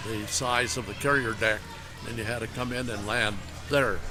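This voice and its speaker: A man with an Upper Midwest accent at a medium pitch and a moderate pace, with fairly even intonation and music in the background. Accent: Upper Midwest American. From Minnesota. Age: 80s+. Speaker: former Navy pilot, veteran. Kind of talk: interview answer. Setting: outdoors at airport exhibit. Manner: hesitant, many fillers.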